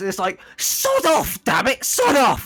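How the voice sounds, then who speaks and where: The speaker's high, put-on character voice proceeds at a fairly slow speed. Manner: sneering, rude.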